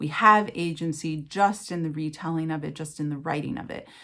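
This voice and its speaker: The speaker has a West Coast US accent and ordinary pitch variation. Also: woman. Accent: General American (West Coast). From Los Angeles, California. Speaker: writer and writing teacher. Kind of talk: interview answer. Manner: conversational, reflective, with fillers.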